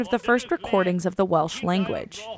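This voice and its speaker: With noticeable background noise behind her, a woman speaks at a medium pitch using lively intonation. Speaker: radio reporter. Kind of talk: public radio news reporting.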